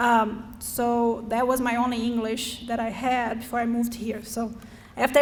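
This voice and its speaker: Speaking at a moderate pace in a Brazilian accent, a woman uses a high pitch and flat, monotone intonation, with audible room echo around her. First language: Portuguese. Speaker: school board candidate, parent. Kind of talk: candidate forum speech. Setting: school forum with student audience.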